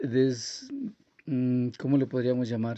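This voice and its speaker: Fairly slow speech from a man with a fairly high pitch. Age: 60s. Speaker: earthquake eyewitness. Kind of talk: interview testimony. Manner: halting.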